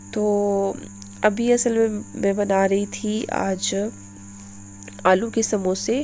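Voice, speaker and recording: With music playing behind her, a woman talks very slowly, leaving long, frequent pauses. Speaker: cooking and daily-life vlogger. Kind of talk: casual vlog narration. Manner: hesitant with many fillers.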